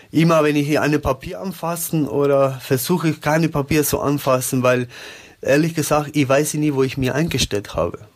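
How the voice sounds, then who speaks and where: With a Spanish accent, a man speaks at a fairly high pitch with fairly even intonation and very even loudness. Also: moderate pace. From Uruguay. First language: Spanish (speaking German). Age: 30s. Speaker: company employee, COVID survivor. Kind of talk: interview, personal testimony. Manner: halting.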